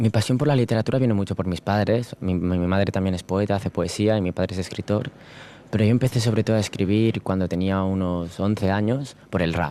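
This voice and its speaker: A man speaks at a fairly quick pace with a dark, mellow tone. His pitch is fairly low, with ordinary variation. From Spain (Barcelona area). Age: 20s. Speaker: slam poet and university student. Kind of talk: interview.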